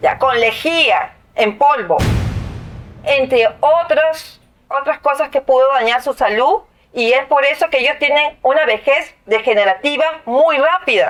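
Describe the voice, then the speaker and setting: Her pitch high with ordinary variation, a woman talks at a fairly slow pace with very even loudness. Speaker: union representative of dismissed workers. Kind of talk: interview testimony.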